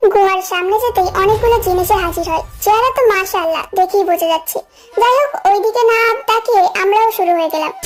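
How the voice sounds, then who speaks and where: At a moderate pace, a woman talks in an extremely high voice. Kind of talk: first-person fan story narration. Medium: audio drama.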